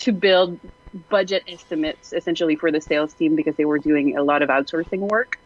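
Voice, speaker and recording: A woman at a fairly low pitch and a fairly quick pace, with ordinary pitch variation, very even loudness and noticeable background noise. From Quebec, rural. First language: French. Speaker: game industry co-founder, panelist. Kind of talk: panel discussion.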